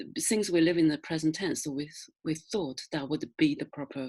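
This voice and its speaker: Speaking with a strong Chinese accent, a woman uses a very deep, low pitch with ordinary pitch variation. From China. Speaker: novelist. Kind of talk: interview. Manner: halting.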